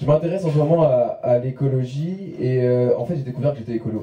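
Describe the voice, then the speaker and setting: A man mumbles as he talks. His pitch shows ordinary variation. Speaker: stand-up comedian. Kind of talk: stand-up. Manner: fast; mumbling, poor articulation.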